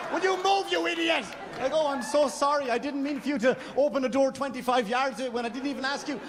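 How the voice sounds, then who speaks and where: A man with an extremely high pitch and an Irish accent, speaking at a very fast pace over noticeable background noise. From Ireland. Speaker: stand-up comedian. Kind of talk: stand-up. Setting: stage with audience. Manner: halting.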